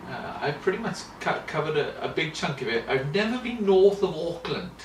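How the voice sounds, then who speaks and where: Amid noticeable background noise and audible room echo, a man with a Welsh accent speaks at a moderate pace with lively intonation. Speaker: children's ministry lecturer. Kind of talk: interview. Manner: halting, many fillers and repetitions.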